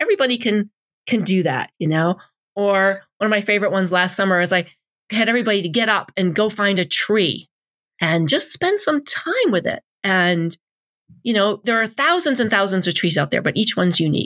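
A woman with an ordinary speaking voice and medium pitch talks at a fairly quick pace with very even loudness, on a very clean recording with a silent background. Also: lively intonation, dry, close sound with no echo. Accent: American. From suburban Boston. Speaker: pastor. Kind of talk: interview.

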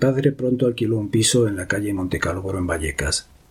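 Over noticeable background noise, a man speaks at a moderate pace in a fairly low pitch with ordinary pitch variation. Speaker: memoir narrator. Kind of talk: reading aloud.

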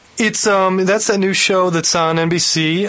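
Noticeable background noise sits under this man's fairly even intonation. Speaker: radio co-host. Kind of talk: casual banter.

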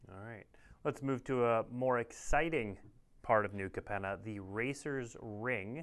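Using a plain, everyday voice, a man talks at a medium pitch and a fairly slow pace, with ordinary pitch variation and big swings in loudness. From Minnesota. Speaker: show host. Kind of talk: livestream host, card previews. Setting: livestream.

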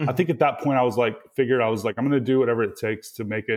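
A man with a slight Mississippi accent talks at a very fast pace with ordinary pitch variation. The recording is very clean, with a silent background. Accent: Mississippi Southern US, slight. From Mississippi, US South. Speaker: developer advocate. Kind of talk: casual interview chat. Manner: fairly relaxed, hesitant with fillers.

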